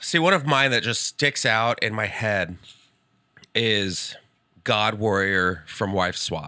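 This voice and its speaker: Very slowly and with long, frequent pauses, a man with an American accent speaks in a fairly low voice with a bright, sharp tone and lively intonation. The sound is dry, with no echo, over a quiet background. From Texas (San Antonio); Texas. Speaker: comedian. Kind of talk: casual chat. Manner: animated, playful. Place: studio. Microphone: studio mic.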